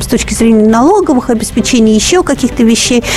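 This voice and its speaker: A high-pitched woman's voice at a fairly quick pace, with ordinary pitch variation and music in the background. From Russia, Vologda. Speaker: recruitment expert. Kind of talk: radio advice show, answering callers. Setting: radio studio. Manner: conversational, lively.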